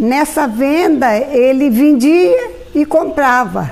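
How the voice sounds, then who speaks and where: A woman's high-pitched voice, with ordinary pitch variation, comes through audible room echo and noticeable background noise. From rural Minas Gerais, Brazil. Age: 80s+. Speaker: retired teacher and pharmacist. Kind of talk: oral history interview. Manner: halting.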